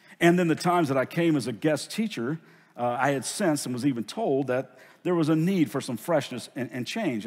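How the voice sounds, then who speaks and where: The recording is very clean with a silent background. A man speaks at medium pitch with lively intonation. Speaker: pastor. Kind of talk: sermon. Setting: church. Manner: earnest, emotional.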